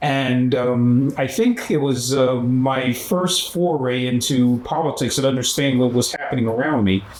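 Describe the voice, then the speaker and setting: With a Philadelphia accent, the speaker keeps fairly even intonation and very even loudness, hardly pausing at all over noticeable background noise. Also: man, medium pitch for a man, moderate pace. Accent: Philadelphia American English. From US Northeast, Philadelphia. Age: 70s. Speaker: human rights activist. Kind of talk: documentary interview. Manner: halting, many fillers.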